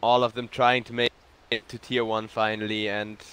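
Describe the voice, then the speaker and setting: A man speaks with a German accent. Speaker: esports caster. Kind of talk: live commentary. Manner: animated.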